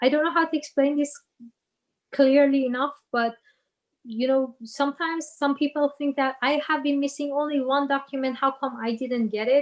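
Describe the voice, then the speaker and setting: Moderate pace and fairly even intonation, in a Persian accent. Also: woman, high pitch for a woman. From Iran. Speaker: business manager and guest speaker. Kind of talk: Q&A talk. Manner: halting.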